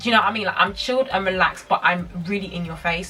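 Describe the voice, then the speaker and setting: There is music in the background. Over it, a woman talks at a medium pitch and a very fast pace. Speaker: beauty vlogger. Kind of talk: makeup tutorial chat. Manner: loud; toned down, calm.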